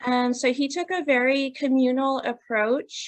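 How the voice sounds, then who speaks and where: Against a quiet background, a woman speaks at a very slow pace. Her high voice keeps a fairly even intonation. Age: 30s. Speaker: student and event presenter. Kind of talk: presentation.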